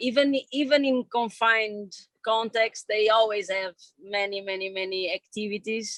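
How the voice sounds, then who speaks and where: Her fairly high voice, with a Portuguese accent and fairly even intonation, comes through dry and close with no echo. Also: moderate pace. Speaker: film director and editor. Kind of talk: Q&A discussion. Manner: halting.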